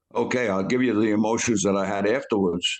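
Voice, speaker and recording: A man with a New York accent speaks with fairly even intonation. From New York City, the Bronx. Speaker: war veteran. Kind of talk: interview storytelling. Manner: halting.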